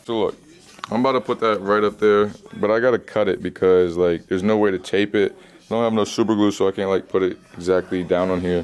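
Over faint background music, a man with a fairly low pitch talks at a very fast pace with fairly even intonation. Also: very even loudness. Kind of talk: casual vlog chat. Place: shop. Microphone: phone near.

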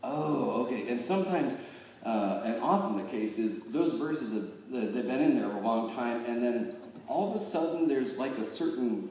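A man with lively intonation, audible room echo and light background noise. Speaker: pastor. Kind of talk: sermon. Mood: warm, personal storytelling. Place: church.

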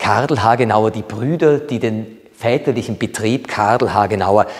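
Words come fairly slowly, their pitch varying in an ordinary way. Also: man. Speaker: art expert at an auction house. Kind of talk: presentation on an artwork. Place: home room. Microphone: lapel.

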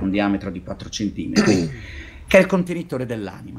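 Somewhat breathy, a man talks at a fairly quick pace with very wide pitch swings over light background noise. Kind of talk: role-play game narration. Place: home room. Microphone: webcam.

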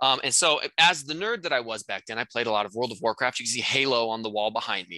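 A man speaks at a very fast pace with hardly any pauses, a bright, sharp tone and ordinary pitch variation. His loudness swings widely, and the sound is dry with no echo against a quiet background. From North Dakota. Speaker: real estate course instructor. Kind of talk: casual chat; tutorial. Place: home room. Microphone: headset.

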